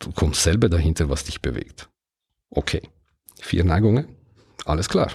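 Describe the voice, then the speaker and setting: A man speaks with an Italian-Swiss accent and a dark, mellow tone. His voice is somewhat breathy, with lively intonation. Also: very clean recording, silent background. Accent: Italian-Swiss, non-native German. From Ticino, Switzerland. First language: Italian (speaking German). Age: 50s. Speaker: podcast host. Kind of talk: solo podcast monologue.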